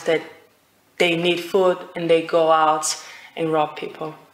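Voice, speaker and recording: Over noticeable background noise, a woman talks at a fairly low pitch in a monotone, flat intonation. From Brazil. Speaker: IELTS speaking test candidate. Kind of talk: speaking exam interview. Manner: halting, many fillers.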